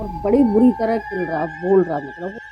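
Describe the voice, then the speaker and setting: A woman talks at a medium pitch and with ordinary pitch variation while music plays in the background. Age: 70s. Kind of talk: interview answer.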